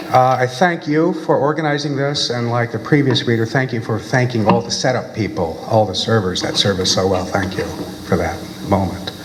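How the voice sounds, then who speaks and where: A man with an American accent talks fairly quickly at a medium pitch with lively intonation. Audible room echo and noticeable background noise are present. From US South, North Carolina. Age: 60s. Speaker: poet. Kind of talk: poetry reading.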